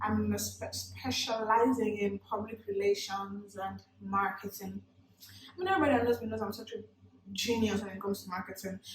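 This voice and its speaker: A woman with a Nigerian accent, animated in tone, big swings in loudness, noticeable background noise. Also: moderate pace. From Nigeria, Port Harcourt. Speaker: beauty vlogger. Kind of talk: makeup tutorial with casual chat.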